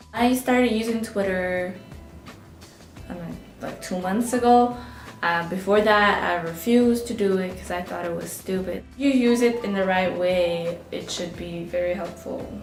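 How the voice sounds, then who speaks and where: With a Russian accent, a woman speaks at medium pitch and a moderate pace, her pitch varying in an ordinary way and her loudness swinging widely over background music. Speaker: college student. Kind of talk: interview answer. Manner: casual.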